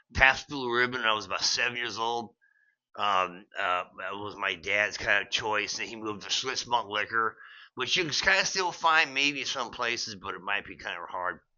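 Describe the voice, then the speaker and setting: An unremarkable speaking voice, this man has an American accent, medium pitch, lively intonation, big swings in loudness and a moderate pace. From United States. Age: 60s. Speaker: beer vlogger, veteran. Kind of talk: casual vlog monologue. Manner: rambling with frequent fillers and restarts.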